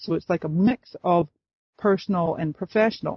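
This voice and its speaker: The speech moves at a moderate pace, with an American accent. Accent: slight Scottish-tinged North American. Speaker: Facebook expert and coach. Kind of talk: interview. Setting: phone call.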